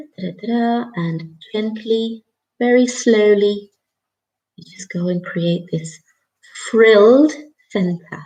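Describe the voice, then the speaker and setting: Dark, mellow, somewhat breathy speech at a very slow pace, with big swings in loudness and long, frequent pauses. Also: woman, fairly high pitch for a woman, ordinary pitch variation. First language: not English. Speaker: craft tutor. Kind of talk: live tutorial. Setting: live stream. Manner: casual, chatty.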